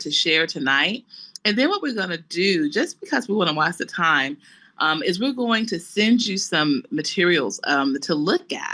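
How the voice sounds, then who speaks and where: Speaking at a moderate pace against a quiet background, a woman has a bright, sharp tone and a Southern US accent. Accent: Southern American, country twang. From US South. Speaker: real estate managing partner. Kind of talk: webinar presentation. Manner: animated.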